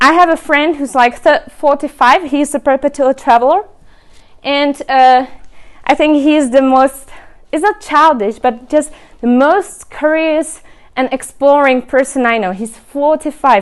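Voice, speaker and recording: This woman talks at a fairly slow pace with a high pitch and ordinary pitch variation. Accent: Czech. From Czech Republic. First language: Czech. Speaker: remote work advocate and speaker. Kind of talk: presentation.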